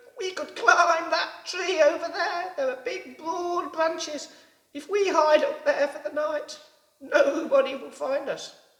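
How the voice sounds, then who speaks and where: The speaker puts on a character voice pitched extremely high and delivers it fairly slowly. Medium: read story. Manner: starts lines with a bleat.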